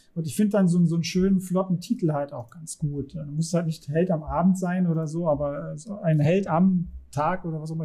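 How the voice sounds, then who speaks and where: Hardly pausing, a man talks at a fairly quick pace with a high pitch, a dark, mellow tone and fairly even intonation. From Germany. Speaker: podcast host, game master and educator. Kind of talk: casual interview chat.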